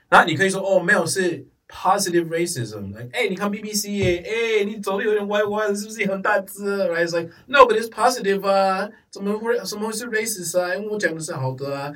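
Speaking at a fairly slow pace, a man with a high pitch and an English accent shows ordinary pitch variation. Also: big swings in loudness. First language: English (speaking Chinese). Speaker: podcast guest. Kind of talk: casual chat. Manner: code-switching between English and Mandarin.

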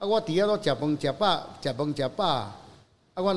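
With a plain, everyday voice, a man talks at a fairly quick pace. His intonation is lively. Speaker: lion head artist and dental technician. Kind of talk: casual interview.

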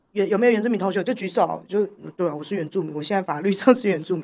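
With very wide pitch swings, a woman speaks on a very clean recording against a silent background. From Taiwan, Taipei. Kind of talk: interview conversation. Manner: laughs often, hearty laugh.

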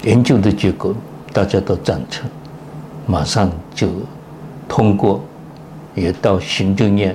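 Amid noticeable background noise, a man with a fairly low pitch and ordinary pitch variation talks at a very slow pace with long, frequent pauses. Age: 90s. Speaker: retired pediatric cardiologist, professor. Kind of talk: interview.

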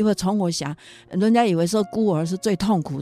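Speaking at a moderate pace, a woman with a fairly low pitch and a dark, mellow tone is heard on a very clean recording with a silent background and a dry, close sound with no echo. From Taiwan, Yunlin County. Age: 60s. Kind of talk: interview testimony. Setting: studio. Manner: animated.

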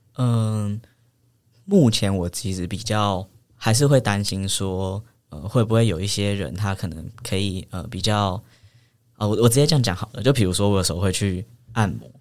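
This man talks at a moderate pace with ordinary pitch variation and a fairly low pitch. The recording is very clean, with a silent background. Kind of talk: casual interview chat.

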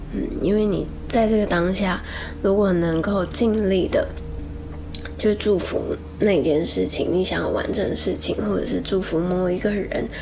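There is audible room echo and noticeable background noise as a woman talks. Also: fairly slow pace. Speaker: podcast host and actress. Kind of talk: spiritual talk.

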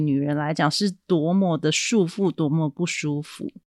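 The speaker is a woman. The recording is very clean, with a silent background and a dry, close sound with no echo. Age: 40s. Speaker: podcast host, book reviewer. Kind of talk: solo podcast monologue, book review.

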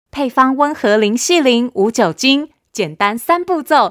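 A woman speaks in a warm tone at a high pitch, with very wide pitch swings and a very slow pace. The sound is dry and close with no echo, a very clean recording with a silent background. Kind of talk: children's story narration. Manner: animated, playful, voicing a sulky little boy and his parents; sing-song, warm, child-directed.

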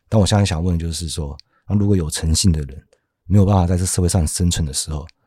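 Very deep and low, a man's dark, mellow voice moves at a very fast pace with ordinary pitch variation. The recording is very clean, with a silent background. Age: middle-aged. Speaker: podcast host. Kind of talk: casual chat about philosophy.

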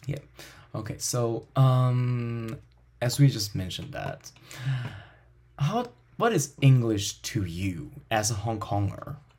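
A man with a Chinese accent, medium in pitch with ordinary variation, somewhat breathy, very slow, with long, frequent pauses. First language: Mandarin Chinese. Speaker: language teacher and podcast host. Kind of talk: casual interview chat.

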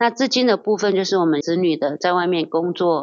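In an ordinary speaking voice, a woman with a fairly low pitch talks at a moderate pace. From Taiwan, Hsinchu mountains (Atayal). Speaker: campground owner. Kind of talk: interview.

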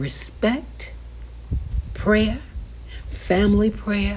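Speaking at a very slow pace, a woman is heard over noticeable background noise. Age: 60s. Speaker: podcast host and Bible teacher. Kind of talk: casual teaching monologue with preaching. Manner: animated.

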